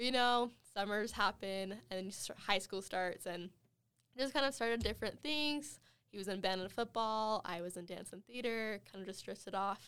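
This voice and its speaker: A woman with an American accent talks at a moderate pace, her medium pitch showing ordinary pitch variation. She has an ordinary speaking voice on a very clean recording with a silent background. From Wyoming, US. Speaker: university student. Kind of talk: casual chat.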